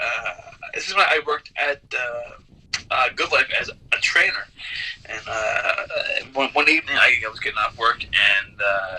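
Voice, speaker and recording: Over noticeable background noise, a man with a Newfoundland accent talks at a moderate pace. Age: 30s. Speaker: pro wrestler. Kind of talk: interview. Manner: halting.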